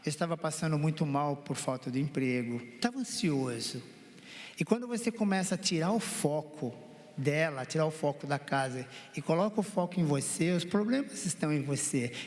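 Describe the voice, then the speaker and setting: This is a plain, everyday voice with lively intonation. It moves at a moderate pace with very even loudness. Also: man, fairly high pitch for a man. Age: 60s. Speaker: counseling guest, husband. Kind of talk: testimony.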